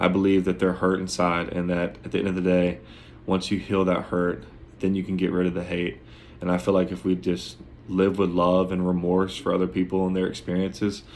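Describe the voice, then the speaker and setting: This man talks at a fairly quick pace in a very deep, low pitch, his intonation monotone and flat. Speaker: student. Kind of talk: class presentation. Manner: hesitant with fillers.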